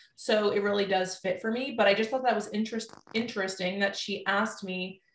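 A woman with an unremarkable speaking voice, medium in pitch, talks at a fairly quick pace with fairly even intonation. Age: 20s. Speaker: nutritionist. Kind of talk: casual chat.

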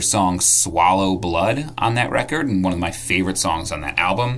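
A man's voice amid noticeable background noise. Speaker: ska history segment presenter. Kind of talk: scripted segment.

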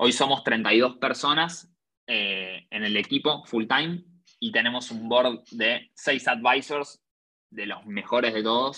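Very slow speech from a man with a medium pitch and ordinary pitch variation. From Argentina. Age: 20s. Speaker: entrepreneur. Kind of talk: interview.

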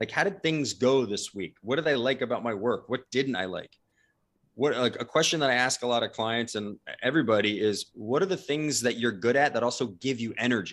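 With an American accent, a man talks at a fairly quick pace in an unremarkable speaking voice of medium pitch. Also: ordinary pitch variation. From New Jersey, US. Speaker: leadership company co-founder. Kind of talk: interview. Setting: video call.

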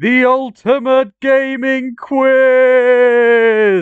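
The speaker puts on a character voice with a fairly high pitch.

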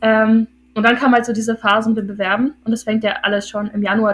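Her voice fairly high, a woman rattles along at a very fast pace. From northern Germany, Hildesheim (Lower Saxony). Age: 20s. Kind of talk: casual chat.

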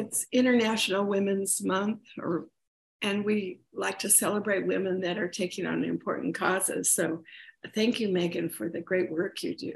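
A woman's voice with vocal fry, ordinary pitch variation and a moderate pace. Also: medium pitch for a woman. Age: 70s. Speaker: podcast co-host. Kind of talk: podcast interview.

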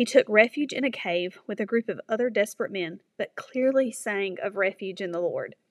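Dry and close with no echo, a woman with a plain, everyday voice talks at a moderate pace and fairly high pitch, with ordinary pitch variation and hardly any pauses. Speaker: devotional speaker. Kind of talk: devotional reflection. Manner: earnest.

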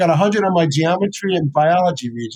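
With a New York accent, a man speaks at a moderate pace. His pitch is high and his intonation lively. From New York City (South Bronx). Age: 70s. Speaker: chiropractor and author. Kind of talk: interview conversation. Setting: video call. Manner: enthusiastic, animated.

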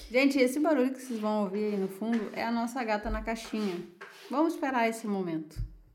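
A woman's fairly high voice with lively intonation at a very fast pace, amid audible room echo. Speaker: podcast co-host. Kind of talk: casual chat.

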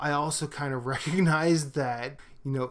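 A man talks with an unremarkable speaking voice at a fairly high pitch, his pitch varying in an ordinary way. The recording is very clean, with a silent background. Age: 40s. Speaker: podcast co-host. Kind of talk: casual chat.

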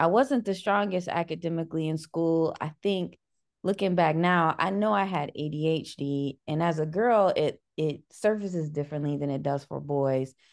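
Fairly low-pitched woman with an American accent, ordinary pitch variation and a moderate pace. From US Midwest, Cleveland, Ohio. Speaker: librarian and educator. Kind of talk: interview.

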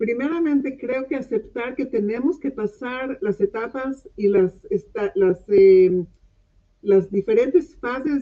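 A woman speaks at a very slow pace with lively intonation. Her pitch sits fairly high. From Mexico, then Israel from age 12. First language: English and Hebrew (speaking Spanish). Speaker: body-mind therapist, clinical social worker. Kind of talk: online talk show interview. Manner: halting, searching for words.

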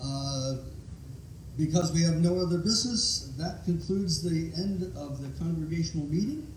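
With an American accent, a man speaks at a moderate pace in a fairly high voice with ordinary pitch variation. The room echo is audible, and background noise is noticeable. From Ohio. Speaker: pastor. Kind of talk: chairing a congregational meeting; sermon and worship leading. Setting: church.

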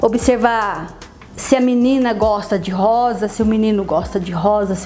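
Audible room echo and noticeable background noise surround a woman speaking. Her pitch is medium and her intonation fairly even. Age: 50s. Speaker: photographer and writer. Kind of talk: interview testimony. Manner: halting, frequent fillers.

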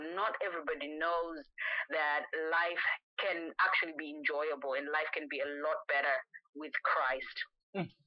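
Her pitch is very deep and low as the woman talks at a moderate pace. Long, frequent pauses break up her speech. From Zimbabwe. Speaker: gospel singer. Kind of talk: interview. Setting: phone call. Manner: animated.

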